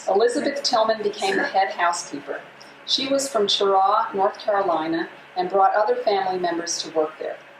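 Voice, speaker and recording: Against noticeable background noise, a woman with an American accent talks fairly quickly, her pitch swinging very widely. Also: medium pitch for a woman. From Massachusetts, Berkshires. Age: 60s. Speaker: local history speaker. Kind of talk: presentation to an audience. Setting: room with live audience. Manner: reading from notes, with hesitations.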